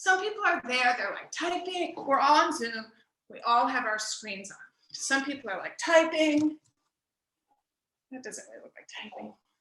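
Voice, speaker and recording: A woman's high, raised, projected voice at a moderate pace, with very wide pitch swings, big swings in loudness, and long, frequent pauses. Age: 60s. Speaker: stand-up comedy student. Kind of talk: stand-up. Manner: animated.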